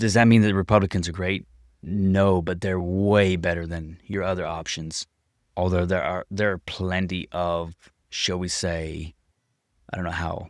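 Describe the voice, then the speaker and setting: A man with an American accent speaks at a fairly slow pace in a very deep, low, monotone voice. He leaves long, frequent pauses, and the recording is very clean with a silent background. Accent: unique. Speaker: city council member and business owner. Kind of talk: casual chat.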